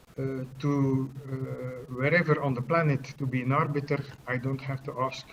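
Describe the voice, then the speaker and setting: A man speaks at a fairly high pitch with monotone, flat intonation. Noticeable background noise is present. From Belgium (Bruges, Flanders). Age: 60s. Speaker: chess arbiter. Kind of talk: interview. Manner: hesitant, many fillers.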